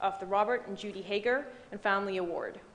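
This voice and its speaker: A woman talks at a medium pitch with ordinary pitch variation. Room echo is audible. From Dubai, Middle East. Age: 20s. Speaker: banking analyst and award recipient. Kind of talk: prepared speech. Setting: stage with audience.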